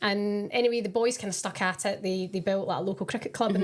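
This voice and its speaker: A woman with a Scottish accent, medium in pitch, very fast, with monotone, flat intonation. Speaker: professional footballer. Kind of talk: casual podcast chat.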